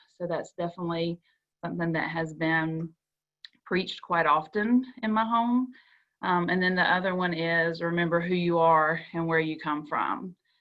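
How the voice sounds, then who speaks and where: A woman with a Southern US accent, fairly low pitch and ordinary pitch variation. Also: moderate pace. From US South, South Georgia. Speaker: school counselor panelist. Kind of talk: panel discussion.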